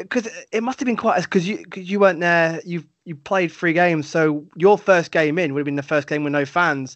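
Hardly pausing at all, a man with an English accent talks at a fairly quick pace in a high pitch, with ordinary pitch variation. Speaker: sports podcast host. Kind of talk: casual interview chat.

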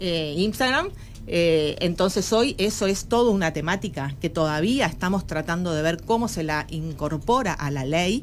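A woman's plain, everyday voice, fairly low-pitched with lively intonation. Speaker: anti-discrimination official. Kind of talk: radio interview.

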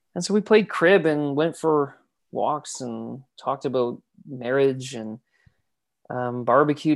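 Here a man speaks with a fairly high pitch and ordinary pitch variation. The recording is very clean, its background silent. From British Columbia, Canada. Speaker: youth ministry worker and former singer. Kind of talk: casual interview chat. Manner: animated, laughs easily.

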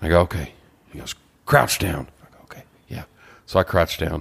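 A man speaks with a Texan accent. His voice sits very deep and low. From Texas, Beaumont. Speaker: podcast co-host. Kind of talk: casual chat. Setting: studio.

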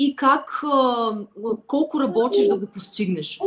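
A woman with a high pitch speaks with very wide pitch swings. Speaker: flutist and language teacher. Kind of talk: interview.

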